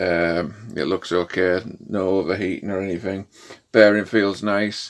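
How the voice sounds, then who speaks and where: A man talks fairly slowly, with fairly even intonation. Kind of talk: tutorial. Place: workshop.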